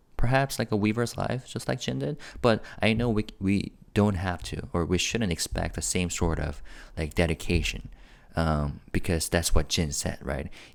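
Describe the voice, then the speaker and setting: Quiet and at a moderate pace, a man with a very deep, low pitch speaks with lively intonation and vocal fry. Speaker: K-pop news youtuber. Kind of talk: casual commentary. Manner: quiet and low; halting, many fillers.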